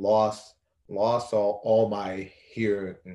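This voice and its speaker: The speaker has a Haitian accent. The tone is dark and mellow. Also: man. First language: Haitian Creole. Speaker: college athlete and abuse survivor. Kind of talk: interview testimony.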